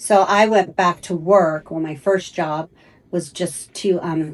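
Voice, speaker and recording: A woman with a plain, everyday voice speaks at a fairly slow pace, her fairly low pitch held in fairly even intonation. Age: 60s. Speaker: stylist. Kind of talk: interview. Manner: conversational, filler-heavy.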